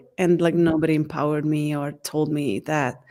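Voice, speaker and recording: A woman with a Hungarian accent speaks in a dark, mellow tone on a very clean recording with a silent background. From Hungary. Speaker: certified facilitator. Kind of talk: interview.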